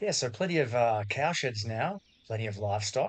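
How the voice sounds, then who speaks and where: Over music in the background, a man with an Australian accent talks at a moderate pace in a fairly low pitch, with a relaxed, calm tone and ordinary pitch variation. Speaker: gaming YouTuber. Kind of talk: casual gameplay commentary.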